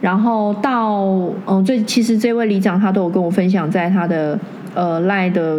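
Ordinary pitch variation amid audible room echo and noticeable background noise. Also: woman. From Taiwan, Taoyuan. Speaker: interior designer and councillor's assistant. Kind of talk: casual interview chat.

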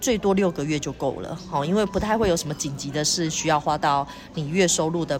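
A woman speaks in a very deep, low voice at a fairly quick pace. Her pitch varies in an ordinary way, with music in the background. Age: 40s. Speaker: insurance and financial advisor. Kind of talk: interview.

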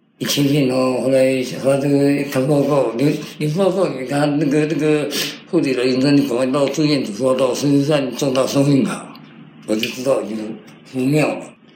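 A man speaks at a moderate pace with a fairly high pitch and fairly even intonation. Audible room echo and noticeable background noise surround him. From Taiwan, military dependents' village. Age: 50s. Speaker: cancer survivor. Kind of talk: interview.

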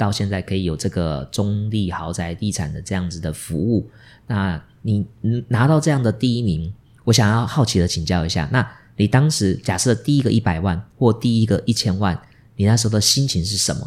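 A fairly low-pitched man at a moderate pace with lively intonation, on a very clean recording with a silent background. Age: middle-aged. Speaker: podcast host. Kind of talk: interview. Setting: office. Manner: animated.

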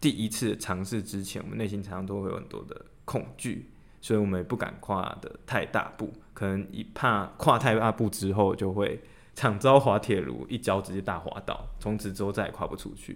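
On a very clean recording with a silent background, a man speaks at a moderate pace with a fairly low pitch. He has a plain, everyday voice with ordinary pitch variation. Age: 30s. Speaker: podcast co-host. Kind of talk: casual chat.

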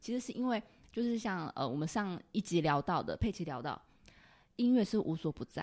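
The woman's pitch moves up and down very widely. She talks fairly quickly. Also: medium pitch for a woman, very clean recording, silent background. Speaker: podcast host. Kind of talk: casual interview chat. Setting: office. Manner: animated.

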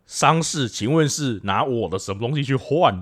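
In a very clean recording with a silent background, a man talks at a moderate pace with very wide pitch swings. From Taiwan, Pingtung (southern). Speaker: podcast co-host. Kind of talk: casual chat.

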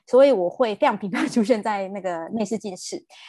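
A woman's fairly high, dark, mellow voice with lively intonation against a quiet background. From Taiwan. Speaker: nurse. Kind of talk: interview conversation.

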